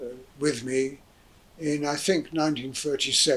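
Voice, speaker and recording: Over noticeable background noise, a man speaks at a fairly high pitch with ordinary pitch variation. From southern England (Hayes, Middlesex). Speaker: interviewee recounting family history. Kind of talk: oral history interview. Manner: halting, many fillers.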